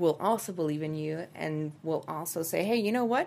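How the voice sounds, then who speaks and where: A woman speaks with a Spanish accent at a fairly low pitch with ordinary pitch variation. The recording is very clean, the background silent. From Dominican Republic (Santo Domingo). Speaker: actress and producer. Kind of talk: interview. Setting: studio.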